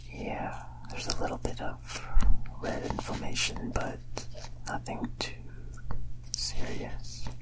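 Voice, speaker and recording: The speech moves at a very slow pace. Loud background noise is present. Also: man. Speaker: ASMR artist doing doctor roleplay. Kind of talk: ASMR medical roleplay exam. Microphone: studio mic.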